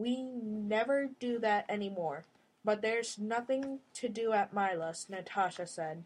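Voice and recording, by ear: A natural voice reads the text aloud. Its pitch shifts in an ordinary way.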